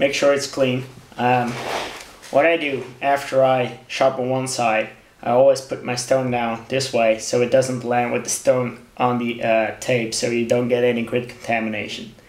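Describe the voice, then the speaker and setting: The voice carries a non-native accent and a monotone, flat intonation at a moderate pace. Noticeable background noise runs underneath. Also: man, medium pitch for a man. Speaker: knife sharpening hobbyist. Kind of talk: tutorial. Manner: halting, many fillers.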